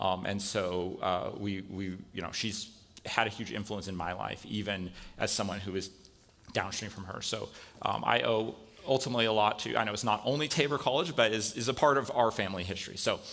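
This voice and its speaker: Audible room echo surrounds a man speaking at a fairly quick pace. His pitch is fairly low, with ordinary variation. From Spain (American missionary kid, born in California). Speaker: computer science professor. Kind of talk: guest lecture in chapel. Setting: college chapel with audience. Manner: casual, many fillers.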